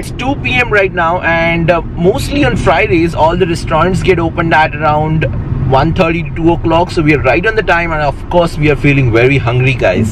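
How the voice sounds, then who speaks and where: Fairly quick, high-pitched speech from a man, noticeable background noise behind it. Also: ordinary pitch variation, dry sound with no echo. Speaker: food vlogger. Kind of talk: casual vlog chat.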